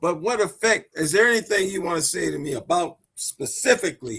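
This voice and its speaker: Moving at a moderate pace, a man speaks with lively intonation and a bright, sharp tone. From US Midwest, South Minneapolis. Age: 70s. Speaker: panelist. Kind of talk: panel discussion.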